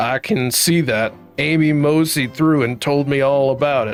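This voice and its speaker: Over faint music in the background, a man does a put-on character voice at a fairly high pitch, with ordinary pitch variation and a moderate pace. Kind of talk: folksy, old-timey.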